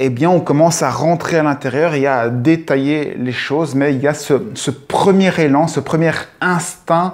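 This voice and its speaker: Noticeable background noise accompanies a man speaking at a fairly slow pace. His voice is fairly high, with fairly even intonation. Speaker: video blogger. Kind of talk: improvised monologue. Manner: halting, hesitant with fillers.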